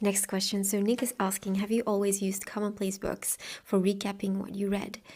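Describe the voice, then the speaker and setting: At a fairly quick pace, a woman with a Flemish accent speaks at medium pitch, her somewhat breathy voice dark and mellow in tone with monotone, flat intonation. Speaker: booktuber and author. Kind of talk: Q&A video monologue. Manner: casual, with fillers.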